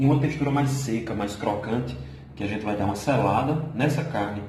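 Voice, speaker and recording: A man talks at a moderate pace with lively intonation. Noticeable background noise and audible room echo come through. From Brazil, Paraíba sertão (Vale do Piancó). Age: 20s. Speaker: amateur cook, law professor. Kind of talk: cooking tutorial and audition video.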